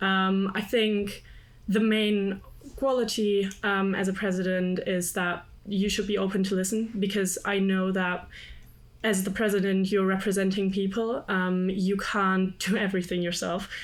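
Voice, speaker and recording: In a German accent, a woman speaks at medium pitch and a fairly slow pace. Her intonation is monotone and flat, her loudness very even, and room echo is audible. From Germany. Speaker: student union candidate. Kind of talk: panel interview.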